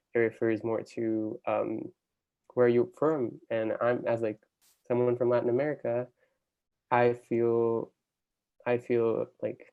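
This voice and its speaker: A man talks at a very slow pace with long, frequent pauses. His intonation is monotone and flat. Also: medium pitch for a man. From Brazil, Sao Paulo. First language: Portuguese. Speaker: college student, storyteller. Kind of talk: interview testimony.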